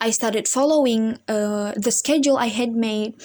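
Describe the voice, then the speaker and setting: A woman's fairly high voice, dark and mellow in tone, with a non-native accent, a moderate pace and fairly even intonation. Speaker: university student. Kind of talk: personal story for class assignment. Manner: halting, with self-corrections.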